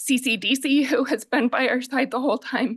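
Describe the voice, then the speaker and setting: A woman's shaky, high-pitched voice at a moderate pace. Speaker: nonprofit real estate development director. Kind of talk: public testimony.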